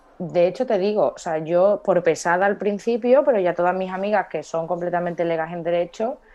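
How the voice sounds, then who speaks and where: A woman's fairly low voice with ordinary pitch variation and hardly any pauses. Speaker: lawyer. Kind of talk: casual chat. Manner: fast.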